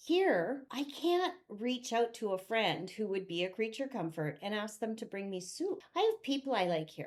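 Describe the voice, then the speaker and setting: Her fairly high pitch moves in very wide swings as the woman talks with hardly any pauses. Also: moderate pace. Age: 60s. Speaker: vlogger. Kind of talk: casual chat. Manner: conversational.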